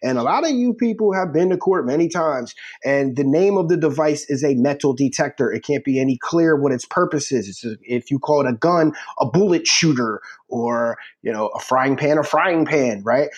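With an American accent, a man of fairly high pitch speaks in an ordinary speaking voice at a moderate pace, his intonation lively. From US Northeast, Philadelphia. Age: 40s. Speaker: recruiting site editor and prosecutor. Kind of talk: casual chat.

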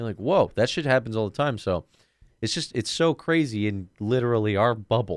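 This man has an ordinary speaking voice at medium pitch. His intonation is lively and his pace fairly quick. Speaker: podcast host. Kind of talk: casual banter podcast chat. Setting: studio.

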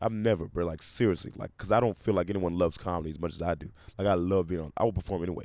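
Very fast and fairly even in intonation, the voice carries a dark, mellow tone on a very clean recording with a silent background. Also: man, very deep, low pitch for a man. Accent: American. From US South. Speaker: stand-up comedian. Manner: laid-back, joking.

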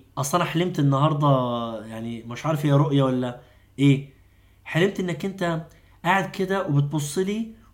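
A man speaks in a somewhat breathy, fairly high voice. His pace is moderate and his pitch varies in an ordinary way. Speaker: doctor and Islamic preacher. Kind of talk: long-form interview. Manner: animated.

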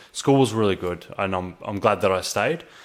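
A man with an Australian accent talks at a fairly quick pace and fairly low pitch, with ordinary pitch variation, on a very clean recording with a silent background. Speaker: online entrepreneur / vlogger. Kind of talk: personal storytelling monologue to camera. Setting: home recording with microphone. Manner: casual, filler-heavy (um, uh).

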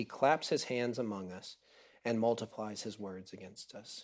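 An ordinary speaking voice from a man, medium in pitch and moderate in pace, with ordinary pitch variation on a very clean recording against a silent background. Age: 30s. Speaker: preacher. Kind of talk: sermon. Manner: casual, with many fillers.

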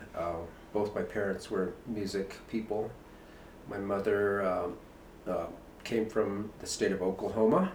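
A man with a fairly low voice speaks at a fairly slow pace with fairly even intonation, leaving long, frequent pauses over noticeable background noise. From northern New Mexico. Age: 50s. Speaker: painter. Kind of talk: casual chat. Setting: artist's studio.

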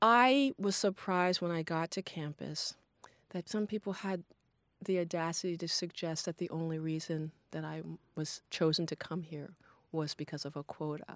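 This woman has a normal speaking voice with a fairly low pitch and an American accent, talking at a moderate pace in a dry, close sound with no echo on a very clean recording with a silent background. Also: ordinary pitch variation. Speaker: alumna. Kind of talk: casual chat.

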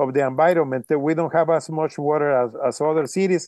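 In a Mexican accent, a man speaks at a fairly high pitch with a dark, mellow tone. His intonation stays fairly even at a moderate pace, over a quiet background. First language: Spanish. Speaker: water policy researcher. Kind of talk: interview. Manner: halting, many fillers.

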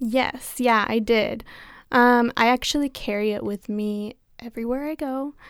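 An unremarkable speaking voice from a woman, fairly high in pitch, with fairly even intonation and a fairly slow pace, dry and close with no echo on a very clean recording with a silent background. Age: 20s. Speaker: university student. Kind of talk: casual chat.

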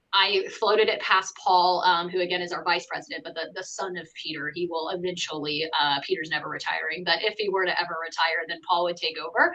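Over noticeable background noise, a woman of fairly low pitch talks at a fairly quick pace, with fairly even intonation and hardly any pauses. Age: 30s. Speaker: sales and marketing director. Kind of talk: casual chat.

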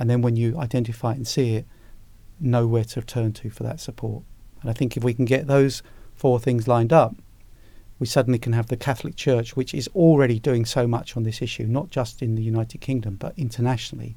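With a dark, mellow tone and a somewhat breathy quality, a man speaks very fast in fairly even intonation. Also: medium pitch for a man. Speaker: former anti-slavery commissioner. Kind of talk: interview.

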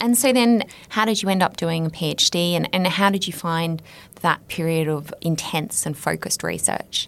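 A woman with a plain, everyday voice speaks at a moderate pace, her fairly low pitch showing ordinary variation. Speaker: podcast host. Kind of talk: interview, scripted intro.

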